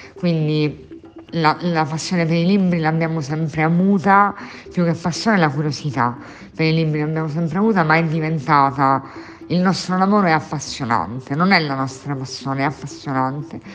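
A woman with a very deep, low voice speaks at a moderate pace. Her pitch varies in an ordinary way, and there is noticeable background noise. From Sicily (Catania). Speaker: bookshop owner. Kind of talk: interview. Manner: halting, many fillers and repetitions.

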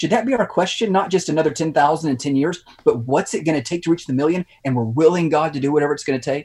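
Here a man talks at a very fast pace with an American accent. His pitch is fairly high, with ordinary pitch variation. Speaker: pastor. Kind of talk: interview.

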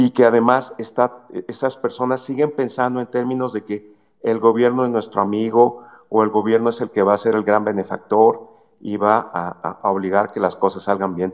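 A man with a normal speaking voice holds a medium pitch and fairly even intonation, talking at a moderate pace. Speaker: economist. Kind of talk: call-in commentary.

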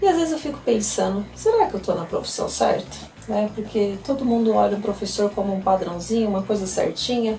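The speech moves at a fairly quick pace, with noticeable background noise throughout. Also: woman. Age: 30s. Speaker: podcast host and schoolteacher. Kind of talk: casual solo podcast monologue. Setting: home. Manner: chatty, talkative.

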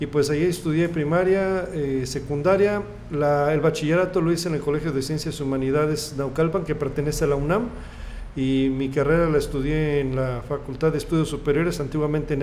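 Speaking at a fairly quick pace, a man with a fairly high pitch keeps his intonation fairly even as audible room echo surrounds him. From central Mexico, State of Mexico. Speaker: radio station manager. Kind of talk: interview.

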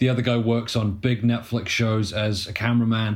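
This man has a British accent and a medium pitch. He talks at a moderate pace. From UK. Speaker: documentary filmmaker. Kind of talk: casual chat.

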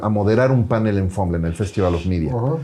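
This man's voice sits fairly low, with a dark, mellow tone. His pitch varies in an ordinary way. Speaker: entrepreneur and podcaster. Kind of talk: interview storytelling.

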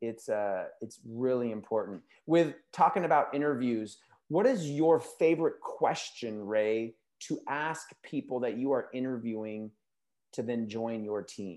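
A man speaks fairly slowly at a medium pitch, with ordinary pitch variation. It is an unremarkable speaking voice. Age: 40s. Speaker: podcast host and school principal. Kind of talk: casual interview.

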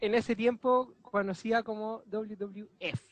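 A dry, close sound with no echo and a Chilean accent. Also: man. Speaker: podcast host. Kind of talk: casual chat.

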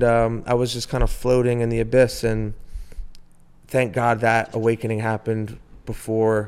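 At a moderate pace, a man speaks at a medium pitch in a plain, everyday voice. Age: 30s. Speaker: musician and entrepreneur. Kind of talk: casual chat.

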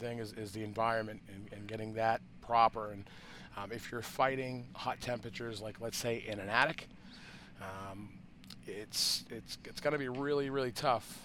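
The speaker talks at a moderate pace with a Boston accent and fairly even intonation. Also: man. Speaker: cannabis grower podcast host. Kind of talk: casual unscripted chat between two growers. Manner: relaxed, loose, filler-heavy.

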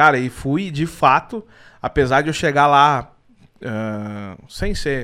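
A man speaks with a fairly high pitch. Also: very clean recording, silent background. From southern Brazil (Rio Grande do Sul). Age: 30s. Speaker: football humor YouTuber. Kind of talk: casual interview chat.

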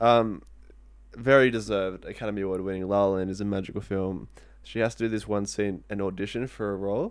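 Over a quiet background, a man with an Australian accent talks very fast at a fairly low pitch. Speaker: podcast host. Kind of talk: casual chat. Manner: animated.

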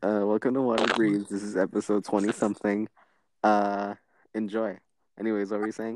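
The speech comes at a fairly quick pace with a flat, monotone intonation. Long pauses break it up frequently. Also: man, fairly low pitch for a man. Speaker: podcast co-host. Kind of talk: casual chat. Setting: remote call over Wi-Fi.

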